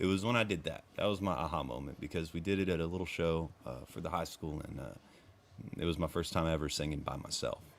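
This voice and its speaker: Talking at a very fast pace, a man with a very deep, low pitch uses vocal fry. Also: ordinary pitch variation. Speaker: country singer. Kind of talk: casual chat. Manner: animated.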